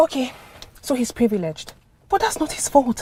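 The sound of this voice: A woman puts on a character voice, pitched high with big swings and a dark, mellow tone carrying a slightly husky edge. Her pace is moderate.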